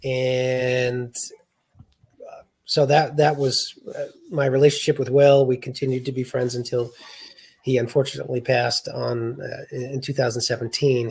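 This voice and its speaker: A man with a Boston accent talks at a moderate pace in a flat monotone. His loudness swings widely, with long, frequent pauses. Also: medium pitch for a man. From US Northeast, south of Boston, Massachusetts. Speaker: state party chair and writer. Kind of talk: interview.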